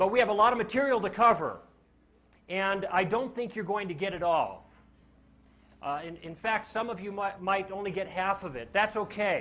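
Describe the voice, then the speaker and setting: A man with a high pitch speaks at a moderate pace, his bright, sharp tone carrying ordinary pitch variation and big swings in loudness over audible room echo. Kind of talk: lecture. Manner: animated.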